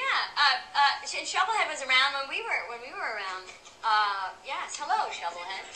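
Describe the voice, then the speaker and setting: A woman speaks in a high pitch at a moderate pace, her upbeat tone marked by very wide pitch swings and big swings in loudness. Noticeable background noise sits behind her. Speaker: comedian. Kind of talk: interview answer. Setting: live audience.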